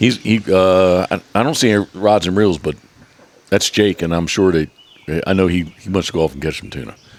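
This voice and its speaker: This man talks at a moderate pace in a very deep, low voice, with ordinary pitch variation. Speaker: podcast host, waterfowl hunter. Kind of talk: casual interview chat. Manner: stutters.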